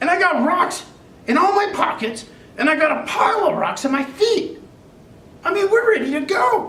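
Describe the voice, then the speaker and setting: An extremely high, put-on character voice at a moderate pace. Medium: audio drama. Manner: chatty, comic.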